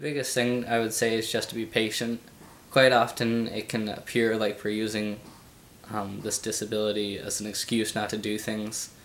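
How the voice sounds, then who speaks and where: Speaking fairly quickly, a man uses a fairly low voice with monotone, flat intonation. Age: 20s. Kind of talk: interview answer. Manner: hesitant, halting.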